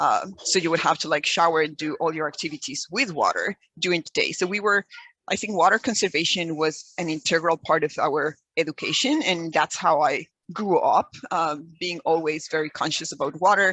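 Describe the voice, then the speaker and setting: In a Mexican accent, a woman talks at a moderate pace with a fairly low pitch. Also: ordinary pitch variation. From Mexico. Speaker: environmental educator. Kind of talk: webinar presentation. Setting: video call. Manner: hesitant, many fillers.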